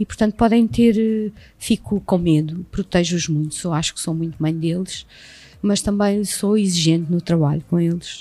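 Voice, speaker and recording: Her tone dark and mellow, a woman speaks at a fairly low pitch with ordinary pitch variation. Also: moderate pace. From Portugal, Setúbal. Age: 50s. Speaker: actress and acting teacher. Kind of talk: casual interview. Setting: recorded at a school.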